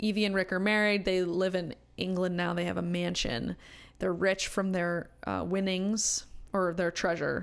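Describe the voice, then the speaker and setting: On a very clean recording with a silent background, a woman talks at a moderate pace in a monotone, flat intonation with very even loudness. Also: medium pitch for a woman. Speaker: podcast guest, film fan. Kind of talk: casual chat.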